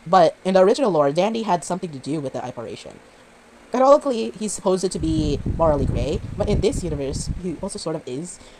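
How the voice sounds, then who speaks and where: Noticeable background noise can be heard. The talking is fairly quick in pace. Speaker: fan theory YouTuber. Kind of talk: casual rant. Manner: halting.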